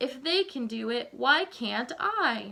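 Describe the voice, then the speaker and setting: Putting on a character voice, a woman speaks high and at a fairly slow pace. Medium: read story.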